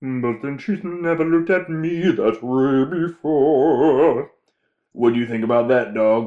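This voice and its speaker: A man puts on a character voice with a fairly high pitch, delivered at a fairly slow pace. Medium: audio drama. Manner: folksy, homespun.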